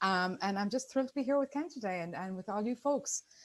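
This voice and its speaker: In an Irish accent, the speaker talks at a very fast pace on a very clean recording with a silent background. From Ireland. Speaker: business partnership expert. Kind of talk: presentation.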